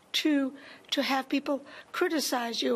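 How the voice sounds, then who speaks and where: Over noticeable background noise, a woman speaks at high pitch with fairly even intonation and a fairly slow pace. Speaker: audience member. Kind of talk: audience comment.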